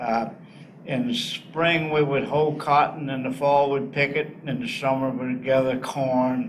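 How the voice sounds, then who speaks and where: Over noticeable background noise and audible room echo, a man with an American accent talks in a fairly high pitch. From US South, northeast Arkansas. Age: 80s+. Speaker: war veteran. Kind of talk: interview.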